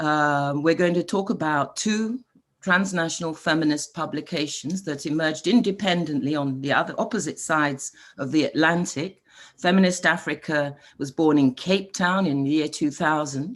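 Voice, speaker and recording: The background is quiet. A woman talks at a moderate pace in a very deep, low pitch. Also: ordinary pitch variation. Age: 60s. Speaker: panel moderator. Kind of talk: online panel moderation. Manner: hesitant, many fillers.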